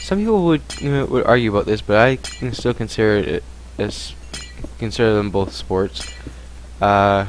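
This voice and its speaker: There is noticeable background noise as a man talks at a moderate pace and a fairly low pitch. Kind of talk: casual Q&A talk to camera. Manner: rambling, mumbling at times.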